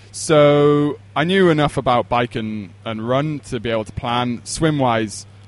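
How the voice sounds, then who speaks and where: At a fairly slow pace with hardly any pauses, a man talks in a Welsh accent at medium pitch with ordinary pitch variation. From Wales, Pembrokeshire. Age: 20s. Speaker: endurance coach. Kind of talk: podcast interview.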